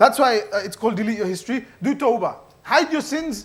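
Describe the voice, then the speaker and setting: A man with an extremely high pitch at a fairly quick pace. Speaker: mosque youth speaker. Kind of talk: religious talk. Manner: fast; casual.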